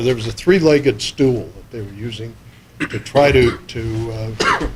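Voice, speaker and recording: A man of medium pitch speaks at a moderate pace with fairly even intonation over noticeable background noise. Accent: American. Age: 60s. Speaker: wildlife commissioner. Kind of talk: public meeting remarks.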